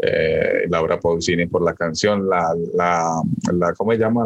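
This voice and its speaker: A man is heard in a dry, close sound with no echo. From rural Colombia. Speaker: podcast co-host. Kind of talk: casual chat. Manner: halting, many fillers.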